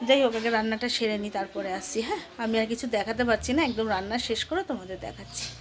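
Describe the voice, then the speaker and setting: On a recording with noticeable background noise, a woman speaks at a fairly high pitch with ordinary pitch variation. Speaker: vlogger, housewife. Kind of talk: casual vlog narration. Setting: at home. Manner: soft-spoken.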